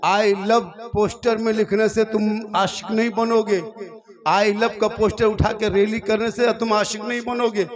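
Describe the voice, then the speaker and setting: A man with a high-pitched voice talks as background noise is noticeable. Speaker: Islamic preacher giving a public sermon. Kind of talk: Islamic sermon (taqreer) to a live crowd, humorous and emotional. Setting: live public gathering at night, PA system. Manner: colloquial, humorous, lively, with crowd interaction.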